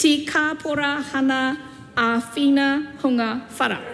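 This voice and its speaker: Music in the background and audible room echo around a voice with a Korean accent. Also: woman. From South Korea. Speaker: politician. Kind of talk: parliamentary speech. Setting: parliament chamber. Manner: halting.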